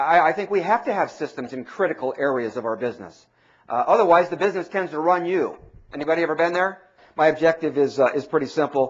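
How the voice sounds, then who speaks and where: Speaking very fast, the man uses lively intonation. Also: fairly high pitch for a man. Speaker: mortgage industry speaker and trainer. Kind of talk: seminar talk. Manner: animated.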